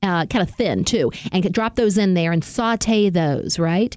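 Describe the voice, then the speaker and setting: A woman with a Southern US accent at a fairly slow pace, in a very clean recording with a silent background. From US South. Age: 50s. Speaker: radio host. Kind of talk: tutorial; casual chat. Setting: studio.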